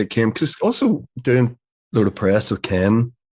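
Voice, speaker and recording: A man with a Northern Irish accent, medium pitch, ordinary pitch variation, and a fairly quick pace. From Northern Ireland. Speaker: actor. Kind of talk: interview answer.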